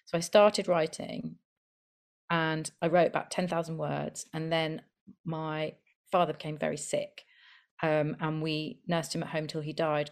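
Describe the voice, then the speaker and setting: Over a silent background on a very clean recording, a woman with a very deep, low pitch talks at a moderate pace in a monotone, flat intonation, with long, frequent pauses. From London and the Midlands. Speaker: debut novelist and actor. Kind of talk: podcast interview.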